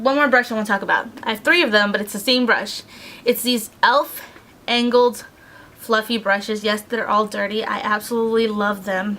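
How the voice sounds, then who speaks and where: A woman with an unremarkable speaking voice talks at a moderate pace, her fairly high pitch kept in fairly even intonation. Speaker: beauty vlogger. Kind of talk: casual product review. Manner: casual, filler-heavy.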